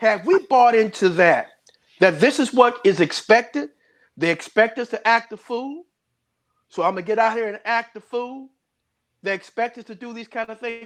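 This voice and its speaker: On a very clean recording with a silent background, a man with an extremely high pitch speaks at a moderate pace with lively intonation, big swings in loudness and long, frequent pauses. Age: 60s. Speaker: panel discussion host. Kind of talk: panel discussion.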